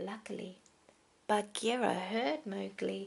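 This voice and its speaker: This soft-spoken voice has a gentle tone. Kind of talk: gentle bedtime storybook reading. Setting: indoors at night with a heater whirring and a toddler in the background. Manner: soft-spoken, gentle, relaxing.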